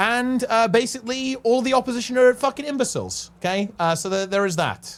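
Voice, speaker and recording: The pace is fairly quick, with hardly any pauses. The speaker has a British accent. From UK. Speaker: streamer. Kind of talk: casual chat. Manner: halting.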